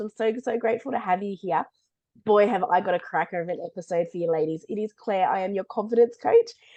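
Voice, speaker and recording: A woman rattles off a raspy, put-on character voice at medium pitch and a very fast pace. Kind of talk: warm, friendly host.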